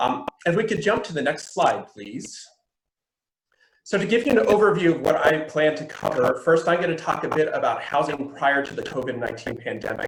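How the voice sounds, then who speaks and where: High-pitched and talking at a fairly quick pace, a man makes very wide pitch swings. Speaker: housing data presenter. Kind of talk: webinar presentation. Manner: fast.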